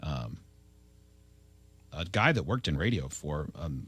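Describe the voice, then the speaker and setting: A man with a very deep, low pitch, a bright, sharp tone and vocal fry. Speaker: radio morning show host. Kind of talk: casual radio show banter.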